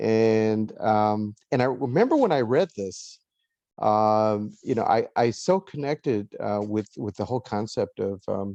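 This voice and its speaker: A man with a Californian accent speaks at a fairly slow pace at medium pitch, with a dark, mellow tone. The sound is dry and close with no echo, over a quiet background. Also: ordinary pitch variation. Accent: Californian American English. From Los Angeles, US. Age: 60s. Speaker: author and lawyer. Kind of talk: interview conversation. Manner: halting, many fillers and repeats.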